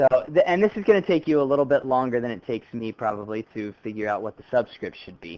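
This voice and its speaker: A man's ordinary speaking voice at medium pitch and fairly quick pace, dry and close with no echo. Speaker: high school chemistry teacher. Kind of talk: classroom lecture. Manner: casual, conversational.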